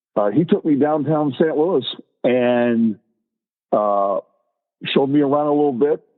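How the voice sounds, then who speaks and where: Pausing long and often, a man speaks fairly slowly at a fairly high pitch for a man, with ordinary pitch variation and very even loudness. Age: 60s. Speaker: long-haul truck driver, former Marine. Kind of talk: casual interview. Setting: podcast recording. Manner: halting with many fillers.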